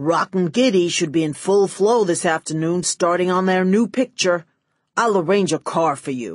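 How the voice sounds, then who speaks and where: Against a quiet background, a woman uses a put-on character voice at medium pitch and a moderate pace. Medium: read story. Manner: oily, smooth.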